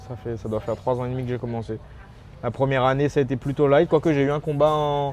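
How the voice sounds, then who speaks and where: This man talks very fast, his pitch in the medium range. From Réunion. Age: 20s. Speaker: MMA fighter. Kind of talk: interview. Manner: halting, many repetitions.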